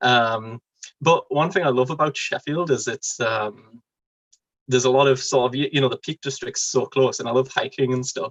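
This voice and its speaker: A man speaks with a Geordie accent. His pace is moderate. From northern England, Newcastle. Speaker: convert to Islam. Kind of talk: interview. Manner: hesitant, many fillers.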